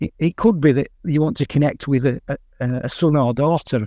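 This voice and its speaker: A man with a Yorkshire accent speaks at a fairly slow pace, his pitch fairly high. The background is quiet, and the sound is dry and close with no echo. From northern England. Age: 60s. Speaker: long-distance runner and author. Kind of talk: radio interview.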